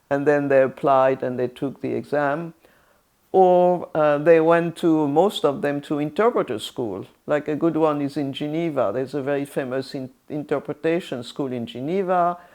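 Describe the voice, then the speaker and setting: Against a quiet background, a voice with a French accent and a dark, mellow tone talks at a moderate pace with ordinary pitch variation. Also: woman, very deep, low pitch for a woman. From France, Orléans. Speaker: retired UN interpreter. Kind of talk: interview. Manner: halting, many fillers and restarts.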